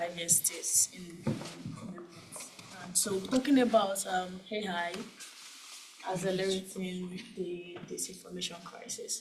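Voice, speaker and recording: A woman with a Nigerian accent speaks at a fairly slow pace with fairly even intonation and big swings in loudness. Noticeable background noise and audible room echo fill the recording. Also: medium pitch for a woman. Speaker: cyber security manager. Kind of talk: conference talk. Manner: quiet, asked to speak up.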